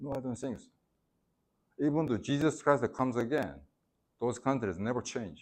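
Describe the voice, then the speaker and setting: At a moderate pace and medium pitch, a man speaks with vocal fry, ordinary pitch variation, big swings in loudness and long, frequent pauses. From South Korea. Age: 60s. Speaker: former ambassador. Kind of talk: lecture. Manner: halting.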